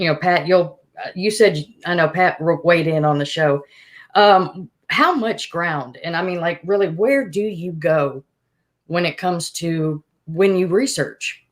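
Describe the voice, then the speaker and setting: A woman at a moderate pace, her intonation lively. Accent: Alabama. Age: 40s. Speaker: podcast host. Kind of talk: casual chat.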